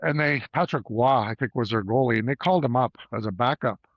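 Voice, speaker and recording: Lively in intonation and fairly quick, a man speaks at a medium pitch in an ordinary speaking voice. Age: 60s. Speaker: former junior hockey player, roofing business owner. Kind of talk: casual interview chat.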